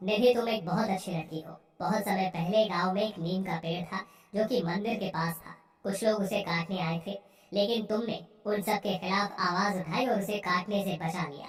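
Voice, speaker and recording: This female-sounding, cartoonish character voice sits at a medium pitch. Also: moderate pace. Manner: gentle, warm, fatherly.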